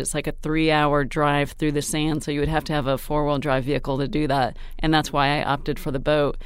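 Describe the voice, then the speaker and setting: With a very deep, low pitch, a woman talks at a fairly quick pace. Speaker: fitness reporter. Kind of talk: interview.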